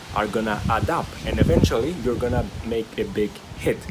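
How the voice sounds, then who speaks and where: Fairly slow speech from a man against noticeable background noise. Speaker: stuttering recovery video creator. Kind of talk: motivational talk to camera. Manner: hesitant with fillers and repetitions.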